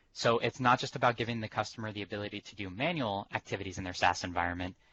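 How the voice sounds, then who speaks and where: Very fast talk from a man, fairly low in pitch, with ordinary pitch variation and big swings in loudness. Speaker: technical presenter. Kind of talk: webinar demo presentation. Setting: conference call.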